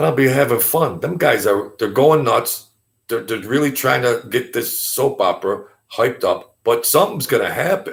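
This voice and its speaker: Here a man talks with a New York accent in an animated tone. His pace is moderate. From Brooklyn, New York. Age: 50s. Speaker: YouTube commentator. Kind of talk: casual live-stream monologue. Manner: animated, repetitive stammering.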